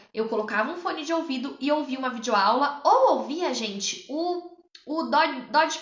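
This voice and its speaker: A woman with a high-pitched voice speaks at a moderate pace with very wide pitch swings, over noticeable background noise and audible room echo. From interior of São Paulo state, Brazil (São João da Boa Vista). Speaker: public attorney and exam-prep mentor. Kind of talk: livestream talk about own study experience. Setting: live stream.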